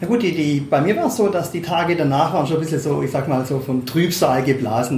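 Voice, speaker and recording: Over noticeable background noise, the speaker moves at a fairly quick pace. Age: 50s. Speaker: club advisory board member, longtime fan. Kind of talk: interview. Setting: club office.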